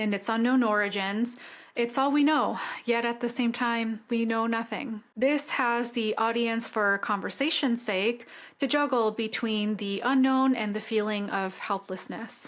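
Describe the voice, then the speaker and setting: A woman speaks in a fairly high pitch with fairly even intonation. Her pace is fairly slow, in a very clean recording with a silent background. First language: not English. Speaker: film review podcaster. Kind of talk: podcast film analysis monologue.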